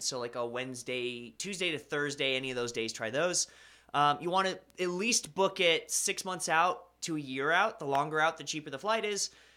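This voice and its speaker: In an American accent, a man with a fairly high pitch and a bright, sharp tone speaks at a fairly quick pace with lively intonation on a very clean recording with a silent background. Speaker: anime live streamer. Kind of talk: casual live stream chat reading viewer comments. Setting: home streaming room with sound foam. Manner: casual, conversational with fillers.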